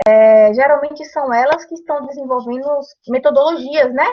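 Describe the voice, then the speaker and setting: The woman's voice is high-pitched, with ordinary pitch variation. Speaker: university lecturer. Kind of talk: lecture.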